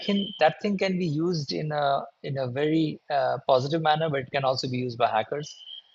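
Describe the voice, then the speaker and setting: A man's voice sits fairly high in pitch, varying in an ordinary way. He keeps a moderate pace. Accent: Bengali. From India, Bengali-speaking region. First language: Bengali. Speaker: security conference speaker. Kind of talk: conference talk. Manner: hesitant, many fillers.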